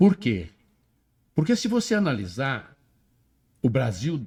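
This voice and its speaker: Speaking very slowly, a man sounds somewhat breathy as his pitch swings very widely. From Minas Gerais, Brazil. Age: 70s. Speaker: farmer and former municipal finance secretary. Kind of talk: interview answer.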